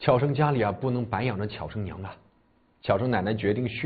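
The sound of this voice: With normal rises and falls in pitch, the voice reads without strain.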